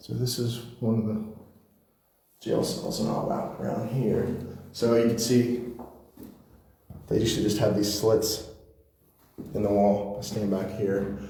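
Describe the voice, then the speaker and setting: Amid audible room echo, a man with an American accent speaks at a fairly low pitch and fairly slow pace, his intonation fairly even and his pauses long and frequent. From northern US. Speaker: paranormal investigator. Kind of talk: walking tour narration. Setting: indoors, old jail at night.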